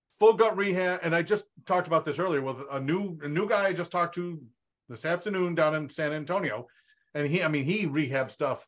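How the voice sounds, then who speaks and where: Against a quiet background, a man with fairly high pitch moves at a fairly quick pace with ordinary pitch variation. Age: 50s. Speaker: real estate wholesaling coach. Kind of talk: casual group call. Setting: video call. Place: home room. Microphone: studio mic.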